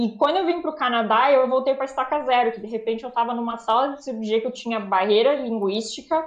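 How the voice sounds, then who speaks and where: A woman's fairly quick, fairly high-pitched delivery in a normal speaking voice, with ordinary pitch variation. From Brazil. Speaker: anesthesiologist. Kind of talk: casual interview.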